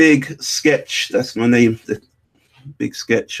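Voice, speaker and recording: A man speaks fairly slowly with a British accent. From North London (Camden). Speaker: animator and artist. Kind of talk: casual interview.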